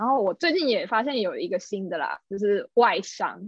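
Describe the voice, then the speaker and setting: A woman talks in a plain, everyday voice. Her pitch is medium and her intonation lively. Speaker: office worker living in Japan. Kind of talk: casual chat.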